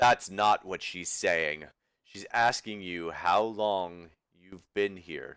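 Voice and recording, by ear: In a put-on character voice, a man sounds gruff and fairly low, speaking very slowly with fairly even intonation in a very clean recording with a silent background.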